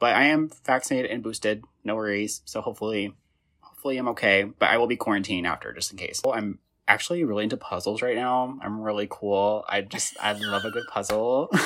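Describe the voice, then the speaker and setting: With an American accent, a man speaks at a very fast pace and fairly low pitch, with ordinary pitch variation and a bright, sharp tone. The recording is very clean, with a silent background. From Indiana. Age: 20s. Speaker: podcast host. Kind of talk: casual chat.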